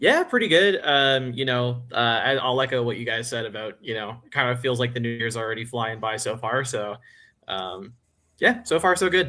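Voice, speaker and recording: A man with an American accent and an unremarkable speaking voice, at a medium pitch, moderate pace and ordinary pitch variation. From USA. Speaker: movie reviewer. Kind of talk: casual chat.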